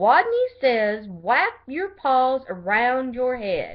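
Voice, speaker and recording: In a put-on character voice, a woman squeaks at a high pitch, swinging very widely up and down at a very slow pace. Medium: read story.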